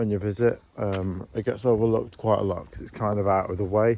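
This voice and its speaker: Soft-spoken, a man talks in a fairly low pitch with a dark, mellow tone. His intonation is fairly even and his pace moderate. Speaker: vlogger giving a zoo tour. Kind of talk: casual walking vlog narration. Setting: outdoors at a zoo. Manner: quiet, soft-spoken.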